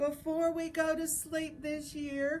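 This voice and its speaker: A woman does a put-on, squeaky character voice at an extremely high pitch with monotone, flat intonation. Clear background noise can be heard. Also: fairly slow pace. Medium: read story.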